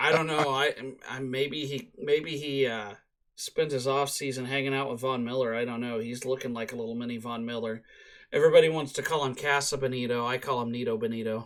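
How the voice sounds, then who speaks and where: Fairly even intonation from a man at medium pitch, on a very clean recording with a silent background. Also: fairly quick pace. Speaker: sports podcast co-host. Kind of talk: casual chat. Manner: halting, stumbling over words.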